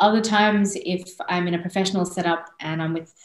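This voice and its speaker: A woman with an Australian accent at a moderate pace, fairly even intonation and audible room echo. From born in India, raised in Australia from age 5. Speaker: singer-songwriter, interview guest. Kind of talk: interview answer. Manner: casual, chatty. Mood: warm, friendly, animated. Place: home room. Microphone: video call.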